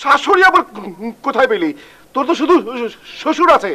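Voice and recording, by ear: Using a put-on character voice, a man speaks at an extremely high pitch with big pitch swings, a bright, sharp tone and a fairly quick pace.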